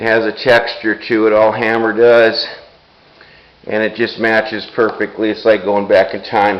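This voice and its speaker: In a monotone, flat intonation, a man speaks at a medium pitch and moderate pace amid noticeable background noise. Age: 60s. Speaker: audio equipment restorer. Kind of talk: product walkthrough. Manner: casual, halting with fillers.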